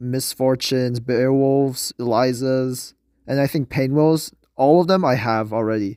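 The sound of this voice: Over a very clean recording with a silent background, a man speaks with a nasal sound. He talks at a fairly slow pace with ordinary pitch variation. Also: slightly mellow tone.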